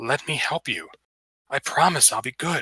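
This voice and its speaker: A man's whispering, raspy put-on character voice at a moderate pace. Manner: whispering, coaxing.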